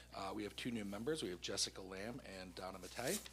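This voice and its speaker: Audible room echo surrounds a man speaking at a fairly quick pace. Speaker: school board member. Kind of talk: meeting report. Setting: town council meeting. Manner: loud.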